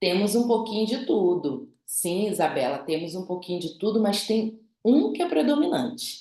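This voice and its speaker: A dark, mellow tone with lively intonation, a moderate pace and audible room echo. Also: woman. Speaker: behavioral profile specialist, instructor. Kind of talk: online class, interactive lecture.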